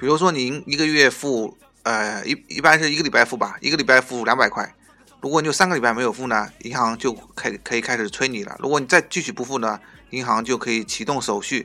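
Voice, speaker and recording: Fairly quick pace with ordinary pitch variation. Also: man, medium pitch for a man. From Northeast China. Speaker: podcast host at an immigration consultancy. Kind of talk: informational podcast monologue. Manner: hesitant, frequent filler sounds and repetitions.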